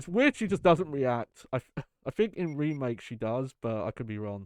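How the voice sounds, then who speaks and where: Recorded dry and close with no echo, a man talks at a moderate pace in a medium pitch, his voice swinging very widely in pitch. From southeast England. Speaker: game streamer. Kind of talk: casual live-stream commentary.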